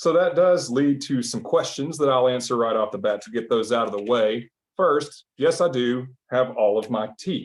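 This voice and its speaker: In a Southern US accent, a man talks at a moderate pace and medium pitch. His pitch variation is ordinary. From US South, Arkansas. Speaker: mentalist magician. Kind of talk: comedic stage patter. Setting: online video call show from home. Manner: animated.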